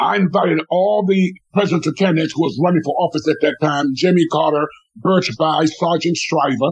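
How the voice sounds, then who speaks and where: With an American accent and an unremarkable speaking voice, a man talks at a fairly quick pace with fairly high pitch, ordinary pitch variation and very even loudness. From Washington, DC. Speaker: former state legislator and community organizer. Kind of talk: radio interview.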